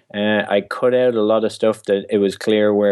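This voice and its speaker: A man with an Irish accent speaks at a fairly low pitch. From Ireland. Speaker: author and stand-up comic. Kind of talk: casual interview.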